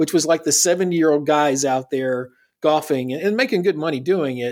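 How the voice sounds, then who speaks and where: A normal speaking voice with an American accent and ordinary pitch variation comes through on a very clean recording with a silent background. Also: man. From US South. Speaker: wrestling commentator guest. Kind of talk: casual chat.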